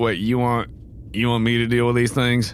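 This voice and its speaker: A man's gruff, put-on character voice at medium pitch and moderate pace, very even in loudness, over clear background noise. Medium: actual play. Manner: grudging, gruff.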